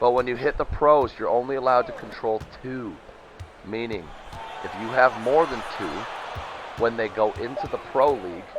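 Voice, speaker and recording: A medium-pitched man at a moderate pace, with ordinary pitch variation, big swings in loudness, long, frequent pauses and noticeable background noise. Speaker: simulated sports league commissioner and commentator. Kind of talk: live play-by-play commentary. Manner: animated.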